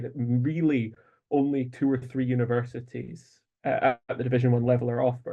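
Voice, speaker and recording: Somewhat breathy, a man with a British accent speaks in a flat monotone. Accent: noticeable British. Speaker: sports journalist. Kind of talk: press conference question. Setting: video call.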